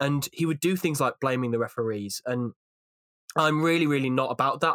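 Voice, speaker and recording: In a Welsh accent, a man with a medium-pitched voice talks at a very fast pace with ordinary pitch variation, the sound dry and close with no echo on a very clean recording with a silent background. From Wales. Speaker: rugby YouTuber and pundit. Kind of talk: casual podcast discussion.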